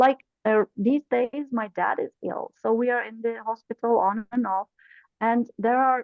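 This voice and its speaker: A woman with a non-native accent speaks at a fairly slow pace. Her pitch is fairly high, and her intonation fairly even. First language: not English. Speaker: corporate trainer, club officer. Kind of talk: webinar panel discussion.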